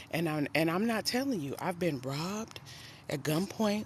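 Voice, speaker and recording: This is a woman talking. Her delivery sounds somewhat breathy. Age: 50s. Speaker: life coach and nurse. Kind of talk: casual live stream talk. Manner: animated.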